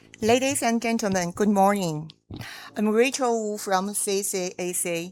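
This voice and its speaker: A woman with a Chinese accent at medium pitch and a fairly slow pace, ordinary pitch variation, on a very clean recording with a silent background. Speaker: school principal and business delegate. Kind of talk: formal speech. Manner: halting.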